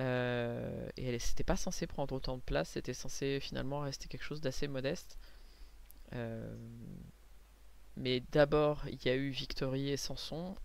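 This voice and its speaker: The room echo is audible as a woman speaks. She goes at a fairly slow pace with long, frequent pauses. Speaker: comic book artist and vlogger. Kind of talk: casual vlog talk. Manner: hesitant, many fillers and repetitions.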